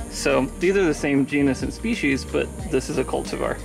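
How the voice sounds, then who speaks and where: A man's voice comes at a moderate pace while clear music sounds behind it. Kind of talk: casual guided tour explanation. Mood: enthusiastic, relaxed. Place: garden. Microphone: phone near.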